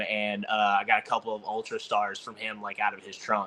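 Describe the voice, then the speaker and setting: Delivering his words at a moderate pace, a man with a Southern accent has medium pitch and a bright, sharp tone. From Texas, north of Dallas. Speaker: disc golf player. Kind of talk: casual interview chat. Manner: filler-heavy, repetitive.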